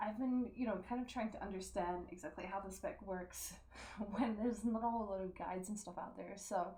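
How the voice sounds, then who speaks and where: Soft-spoken and fairly quick, a woman talks in a medium pitch with fairly even intonation against noticeable background noise. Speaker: gamer and streamer. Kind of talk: game tutorial voice-over. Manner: soft-spoken, quiet; casual, many fillers.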